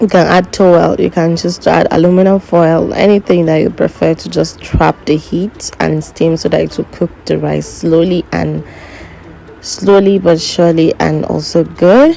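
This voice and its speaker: Over noticeable background noise, a woman with a non-native accent talks at a moderate pace. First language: not English. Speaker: cooking vlogger. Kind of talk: cooking tutorial voiceover.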